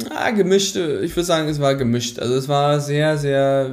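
This man's voice sits at a fairly high pitch. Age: 30s. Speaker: former railway employee who took a career break to travel. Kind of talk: interview.

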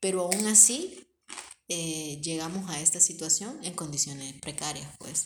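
Somewhat breathy, a woman speaks with a fairly low pitch in a Honduran accent. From Honduras, Tegucigalpa. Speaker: podcast co-host. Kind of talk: casual chat.

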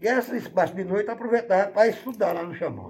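A man talks at a fairly quick pace. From Bahia, Brazil. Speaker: musician and model aircraft hobbyist. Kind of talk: interview. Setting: at his home.

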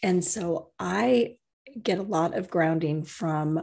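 Against a quiet background, a woman with a normal speaking voice talks at a fairly low pitch with ordinary pitch variation. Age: 50s. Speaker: podcast co-host, writer and energy healer. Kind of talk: casual conversation.

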